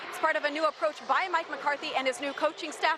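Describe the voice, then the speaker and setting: A woman with an American accent speaks at a high pitch and a fairly quick pace. Noticeable background noise is present. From Tampa, Florida. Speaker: sports reporter. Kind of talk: sports news report.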